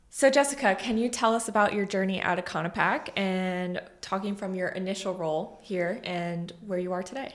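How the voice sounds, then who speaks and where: Using an ordinary speaking voice, a woman talks at a moderate pace and a medium pitch with ordinary pitch variation and hardly any pauses. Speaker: sales and marketing coordinator, podcast host. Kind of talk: podcast interview questions.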